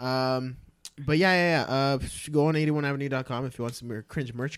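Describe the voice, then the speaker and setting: A man's unremarkable speaking voice, medium in pitch with ordinary pitch variation. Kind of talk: casual chat.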